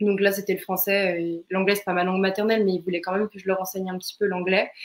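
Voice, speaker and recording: A woman speaks at a very fast pace and medium pitch in a monotone, flat intonation, with big swings in loudness. Noticeable background noise sits behind her. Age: 20s. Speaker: student, former au pair. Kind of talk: interview testimony. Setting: live online broadcast. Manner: hesitant, many fillers.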